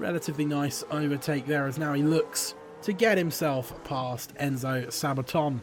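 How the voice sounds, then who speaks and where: Noticeable background noise sits under a man's voice. He speaks at a moderate pace with a fairly high pitch and ordinary pitch variation. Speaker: sim racing commentator. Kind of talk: live commentary. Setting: livestream. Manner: loud.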